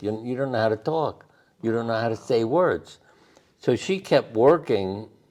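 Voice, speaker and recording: A man at medium pitch with a New York accent and lively intonation. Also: moderate pace. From Brooklyn, New York. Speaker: doctor. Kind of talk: interview answer.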